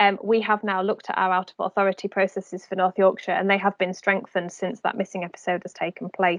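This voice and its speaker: Speaking very fast with hardly any pauses, a woman keeps a monotone, flat intonation at medium pitch. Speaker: safeguarding audit presenter. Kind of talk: online training presentation.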